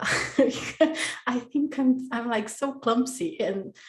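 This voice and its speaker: Speaking at a very slow pace in a Brazilian Portuguese accent, a woman uses a high pitch with ordinary pitch variation. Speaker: podcast guest. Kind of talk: casual interview chat. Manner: halting.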